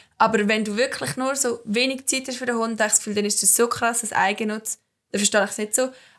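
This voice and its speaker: With an ordinary speaking voice, a woman of fairly high pitch talks at a fairly quick pace with fairly even intonation. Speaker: student podcast co-host. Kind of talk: casual chat.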